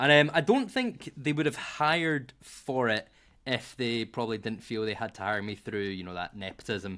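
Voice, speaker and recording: A man speaks at a moderate pace with a Glasgow accent. His tone is bright and sharp. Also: medium pitch for a man, very clean recording, silent background. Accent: Scottish (Glasgow). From Scotland. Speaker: marketing professional. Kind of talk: casual interview chat.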